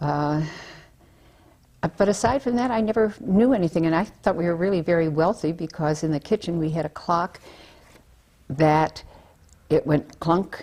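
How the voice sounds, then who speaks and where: With long, frequent pauses, a woman speaks in a fairly low pitch and a dark, mellow tone. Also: moderate pace. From Baltimore, Maryland (Dundalk), US. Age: 70s. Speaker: interviewee recounting family history. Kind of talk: oral history interview. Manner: halting, many fillers.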